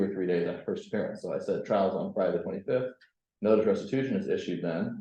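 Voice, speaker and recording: Room echo can be heard surrounding the man as he talks. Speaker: tenant law presenter. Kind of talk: presentation. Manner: fast.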